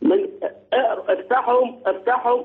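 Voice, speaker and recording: The voice is pitched extremely high. It belongs to a man. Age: 60s. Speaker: caller. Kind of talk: phone-in talk show call.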